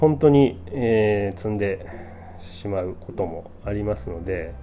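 Here a man speaks with lively intonation. His pitch is fairly low. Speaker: podcast host, board game reviewer. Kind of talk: casual solo talk. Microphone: new cheap microphone.

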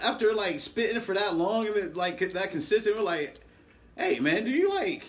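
Speaking at a moderate pace with lively intonation and an American accent, the voice comes through over noticeable background noise. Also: man, high pitch for a man. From New Jersey. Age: 30s. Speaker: rapper. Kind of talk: casual chat.

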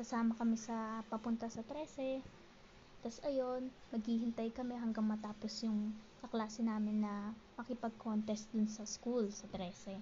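A woman speaks fairly slowly at a fairly high pitch, with noticeable background noise behind her. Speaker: podcast host. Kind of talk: personal storytelling.

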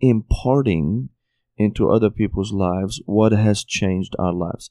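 A man with a Syrian accent, a dark, mellow tone and fairly low pitch, ordinary pitch variation and a fairly slow pace, in a dry, close sound with no echo against a quiet background. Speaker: pastor. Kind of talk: podcast interview.

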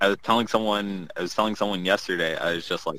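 A man's voice sits very deep and low in pitch, with a bright, sharp tone. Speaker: card game podcast co-host. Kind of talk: casual chat. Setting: video call.

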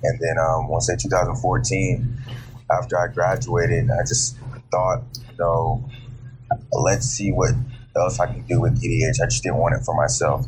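A man's medium-pitched voice at a fairly slow pace, with ordinary pitch variation, audible room echo and music in the background. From grew up overseas. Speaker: personal trainer. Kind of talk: interview.

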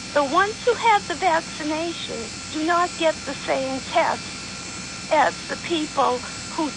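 Noticeable background noise runs under the recording. The speech moves at a fairly slow pace. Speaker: caller. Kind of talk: casual chat. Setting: phone call.

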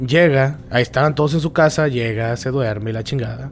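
With noticeable background noise, a man speaks at a medium pitch and moderate pace, with ordinary pitch variation. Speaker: podcast host. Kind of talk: casual chat. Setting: cemetery.

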